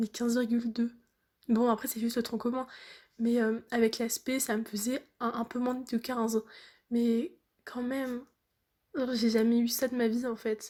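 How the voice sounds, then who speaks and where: A woman speaks at a fairly slow pace with a high pitch. Her intonation stays monotone and flat. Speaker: student vlogger. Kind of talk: casual vlog.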